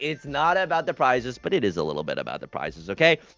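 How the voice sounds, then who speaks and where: With music in the background, a man talks with lively intonation. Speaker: mahjong commentator. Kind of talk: live commentary. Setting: livestream. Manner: loud; animated. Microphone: too quiet.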